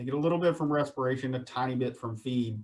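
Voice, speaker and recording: In a Southern US accent, a man speaks at a medium pitch. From US South, Virginia (Shenandoah Valley). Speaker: poultry industry speaker on water treatment. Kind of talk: webinar presentation. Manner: casual, repetitive for emphasis.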